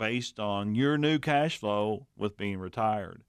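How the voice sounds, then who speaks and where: A man talks at a fairly slow pace in a normal speaking voice, his pitch fairly low with ordinary pitch variation. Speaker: co-host, financial adviser.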